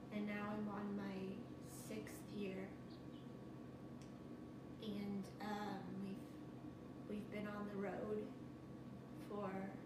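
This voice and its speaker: Over loud background noise and audible room echo, a woman speaks at a very slow pace. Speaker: person telling her own story. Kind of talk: interview answer. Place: home room. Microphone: camera far.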